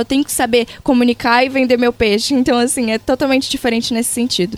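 A woman with a Pará accent talks very fast at a high pitch with fairly even intonation, over noticeable background noise. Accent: Pará (northern Brazilian). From Brazil, Pará (Castanhal). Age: 20s. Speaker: social media influencer. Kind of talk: interview.

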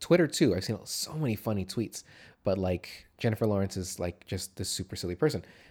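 On a very clean recording with a silent background, a man talks at a fairly quick pace in a fairly low, somewhat breathy voice with lively intonation. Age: 30s. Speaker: podcast co-host. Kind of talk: casual chat. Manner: casual, swears freely.

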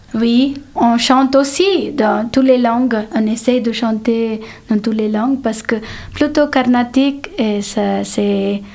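A woman's fairly high voice with a Telugu accent, ordinary pitch variation, a very slow pace and noticeable background noise. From India. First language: Telugu (speaking French). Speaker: musician. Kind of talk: reading aloud; interview.

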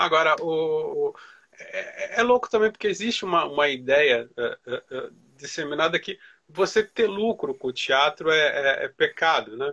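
A man's fairly slow speech, dry and close with no echo. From Brazil, Santos. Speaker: interviewer. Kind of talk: interview. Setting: live stream.

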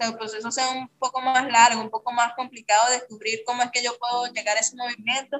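With music in the background, a woman with a Caracas accent speaks at a fairly quick pace and a high pitch. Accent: Venezuelan Spanish (Caracas). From Venezuela, Caracas. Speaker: clown and circus artist. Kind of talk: interview.

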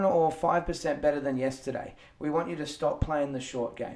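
A man's fairly high-pitched voice, a plain, everyday voice. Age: 30s. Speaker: fitness coach and podcast co-host. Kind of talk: casual chat.

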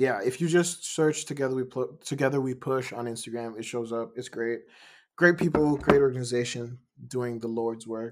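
A man talks at a moderate pace and a medium pitch, with an American accent. His intonation stays fairly even. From Ghana and Denmark. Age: 20s. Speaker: musician. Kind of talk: casual interview conversation. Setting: video call.

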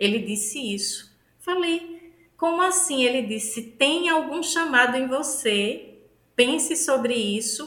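With a northeastern Brazilian accent, a woman speaks at a high pitch and a very slow pace, her intonation lively, in a room with audible echo. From Northeast Brazil, Aracaju, Sergipe. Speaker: pastor and theologian. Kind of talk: interview conversation.

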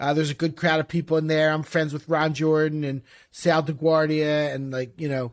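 Captured in a very clean recording with a silent background, a man with an ordinary speaking voice talks at a fairly high pitch with fairly even intonation. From Philadelphia. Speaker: podcast co-host and former ticket broker. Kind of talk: casual interview.

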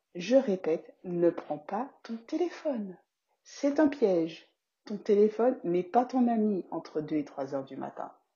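Very wide pitch swings at a fairly slow pace. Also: woman. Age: 30s. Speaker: podcast host and business coach. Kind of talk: casual podcast monologue.

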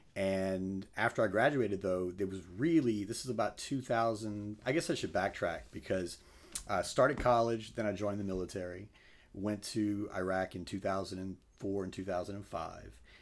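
A man with an American accent speaks at a moderate pace in a fairly low pitch with ordinary pitch variation. The recording is very clean, with a silent background. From South Louisiana (Crowley). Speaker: meat company sales executive, military veteran. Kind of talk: interview.

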